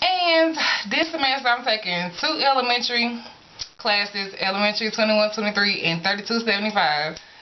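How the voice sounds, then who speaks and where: A woman with an American accent and a fairly high pitch talks at a fairly quick pace, her pitch swinging very widely at very even loudness. Noticeable background noise runs underneath. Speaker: college student vlogger. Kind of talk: casual vlog. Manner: casual, informal.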